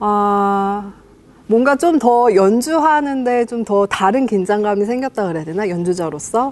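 An unremarkable speaking voice with lively intonation and big swings in loudness. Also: woman, medium pitch for a woman. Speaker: musician. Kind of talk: casual chat.

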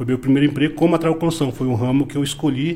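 Somewhat breathy, this voice belongs to a man. His pitch is medium. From Paraná, Brazil (Cascavel). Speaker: business owner. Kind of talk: casual interview.

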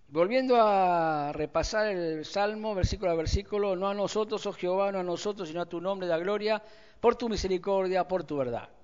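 A man at a moderate pace, high in pitch. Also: ordinary pitch variation. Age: 60s. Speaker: pastor. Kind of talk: sermon.

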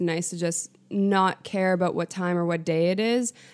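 A normal speaking voice from a woman, at a moderate pace with fairly even intonation. The recording is very clean, with a silent background. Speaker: girlfriend of host, guest. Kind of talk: casual chat.

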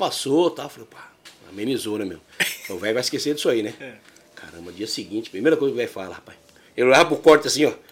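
Through noticeable background noise, a man speaks very fast with very wide pitch swings and big swings in loudness, broken by long, frequent pauses. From São Paulo, Brazil (moved from Minas Gerais at seven). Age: 50s. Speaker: kite maker and shop owner. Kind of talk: casual chat. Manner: animated.

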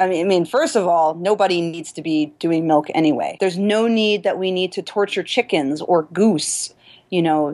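Her plain, everyday voice, fairly low for a woman, moves at a moderate pace with ordinary pitch variation over a quiet background. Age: 30s. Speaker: personal trainer and yoga teacher. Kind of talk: interview.

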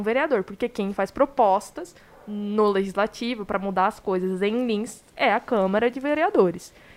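A woman's fairly high voice moves at a moderate pace, her pitch varying in an ordinary way. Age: 20s. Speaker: podcast host. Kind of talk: live podcast interview. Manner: animated.

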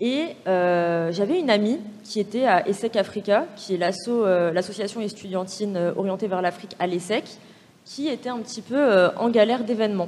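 A woman speaks at a moderate pace in an unremarkable speaking voice, her medium pitch showing ordinary pitch variation. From France, Paris suburbs (Val-de-Marne, near Orly). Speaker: business school student. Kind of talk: panel discussion.

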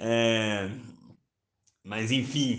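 A bright, sharp tone with monotone, flat intonation and audible room echo. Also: man. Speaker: journalist and psychoanalytic therapist. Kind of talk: solo podcast monologue. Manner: hesitant with repetitions.

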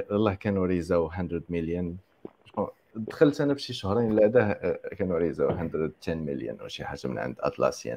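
Speaking at a moderate pace, a man with a very deep, low pitch and a dark, mellow tone shows vocal fry, very wide pitch swings and big swings in loudness. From Morocco. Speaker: software engineer. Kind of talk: interview. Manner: hesitant, filler-heavy.

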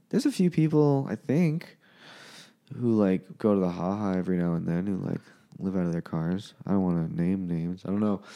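A man speaks fairly quickly in a very deep, low voice with a dark, mellow tone and lively intonation. The recording is very clean, with a silent background. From Winnipeg, Manitoba, Canada. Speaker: stand-up comedian.

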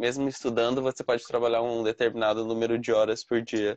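The sound is dry and close with no echo as this man talks very fast. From Brazil. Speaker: Brazilian living abroad. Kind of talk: casual interview.

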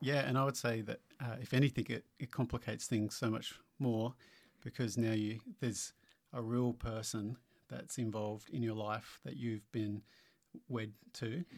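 Fairly even intonation at a moderate pace. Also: man, medium pitch for a man. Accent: Australian. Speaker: church co-host. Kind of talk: casual interview.

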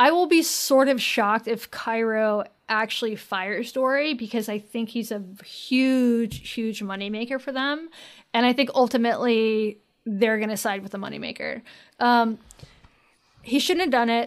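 Here a woman with an American accent speaks at a moderate pace. Her pitch is fairly high, with ordinary variation. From North Carolina. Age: 30s. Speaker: writer and podcaster. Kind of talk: casual chat.

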